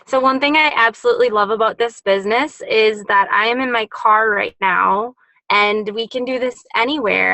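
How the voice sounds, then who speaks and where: A woman speaks at a fairly high pitch with an Upper Midwest accent, her tone bright and sharp. The intonation stays fairly even, and the sound is dry and close with no echo. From Wisconsin, US Midwest. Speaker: network marketing distributor. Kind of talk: testimony. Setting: in a car.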